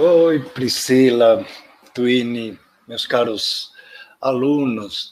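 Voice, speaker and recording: A man with a Spanish accent speaks at a very slow pace and a medium pitch. His intonation is fairly even, broken by long, frequent pauses. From Spain. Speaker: education professor, invited speaker. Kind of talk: webinar talk. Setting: online live stream.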